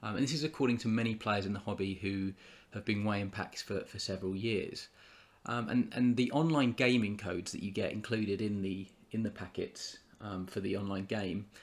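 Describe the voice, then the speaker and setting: A man with a British accent, fairly low in pitch, at a fairly quick pace. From UK. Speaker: YouTuber, trading card collector. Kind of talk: casual vlog commentary. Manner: halting, many fillers and repetitions.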